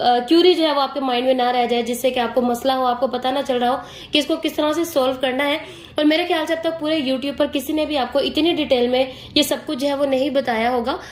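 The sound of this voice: A woman's high-pitched voice at a fairly quick pace, with few pauses and fairly even intonation.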